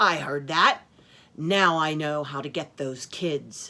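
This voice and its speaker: A put-on character voice at a middle pitch speaks at a fairly slow pace. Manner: sly, scheming.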